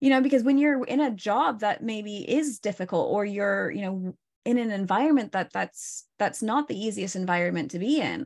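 A woman talks with a Pacific Northwest accent and lively intonation at a fairly high pitch. The background is quiet. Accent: American (Pacific Northwest). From Oregon, US. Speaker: stress and burnout coach. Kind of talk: interview.

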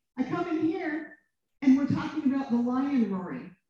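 This woman has a high pitch. She talks at a fairly quick pace. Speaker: minister. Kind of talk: prayer. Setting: stage with audience.

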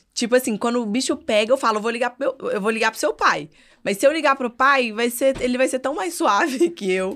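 A woman with a high pitch speaks in an animated tone with lively intonation. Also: fairly quick pace. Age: 30s. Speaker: mother and social media influencer. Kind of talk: casual chat.

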